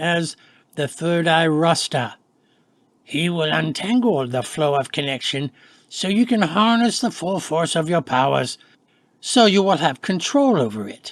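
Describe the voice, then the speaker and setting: Using a put-on character voice, a man talks at a moderate pace in a husky, high pitch. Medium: read story. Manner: low, measured.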